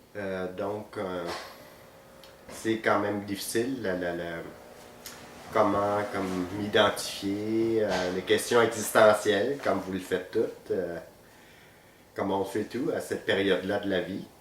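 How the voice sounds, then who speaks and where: A man with a Vietnamese accent at a very slow pace, fairly low in pitch, with fairly even intonation, long, frequent pauses and audible room echo. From Vietnam, moved to Quebec at 14. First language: Vietnamese (speaking French). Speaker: physiotherapist. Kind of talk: interview. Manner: hesitant, many fillers.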